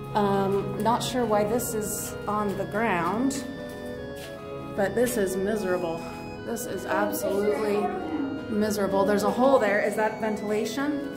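Clear music plays behind a woman talking at a moderate pace. She leaves long, frequent pauses and uses ordinary pitch variation. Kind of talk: casual vlog chat. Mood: excited, amazed. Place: tunnel cave. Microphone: phone near.

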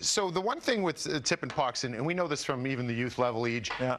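Ordinary pitch variation runs through a man's voice. His tone is bright and sharp, and his pace fairly quick. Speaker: TV hockey analyst. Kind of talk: commentary demonstration. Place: studio. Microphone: lapel.

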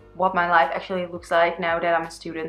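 Faint background music behind a woman talking at a middling pace. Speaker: beauty vlogger. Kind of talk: makeup tutorial chat. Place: home room.

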